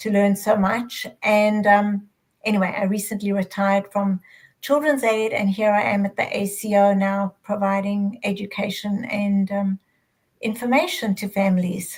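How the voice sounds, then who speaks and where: A woman with a South African accent speaks at a moderate pace and medium pitch. Her delivery is monotone and flat, and somewhat breathy. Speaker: adoption educator, retired social worker. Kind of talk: panel discussion.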